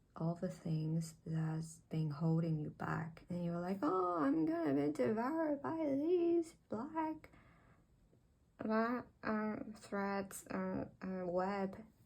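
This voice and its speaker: A soft-spoken woman's voice, fairly low in pitch, somewhat breathy, with lively intonation and a very slow pace. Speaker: tarot reader. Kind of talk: tarot reading to camera. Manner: halting.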